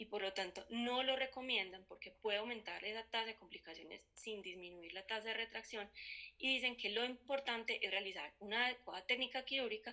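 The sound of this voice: A woman speaks at a fairly quick pace with a fairly high pitch, a bright, sharp tone and ordinary pitch variation.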